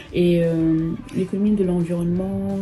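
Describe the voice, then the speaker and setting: A woman's fairly low-pitched voice, with ordinary pitch variation, comes through noticeable background noise. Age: 20s. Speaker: socio-economist. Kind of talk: interview testimony. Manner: hesitant, many fillers.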